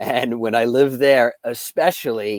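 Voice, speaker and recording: A man with a New York accent speaks at a fairly slow pace and medium pitch. The sound is dry and close with no echo, in a very clean recording over a silent background. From New York, Long Island. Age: 40s. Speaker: psychic and UFO contactee, firefighter. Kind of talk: interview.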